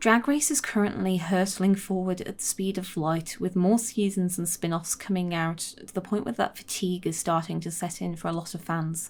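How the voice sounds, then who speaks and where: Mumbling with hardly any pauses, a woman talks at a medium pitch. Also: ordinary pitch variation, moderate pace. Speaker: video essayist. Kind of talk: scripted narration; casual chat.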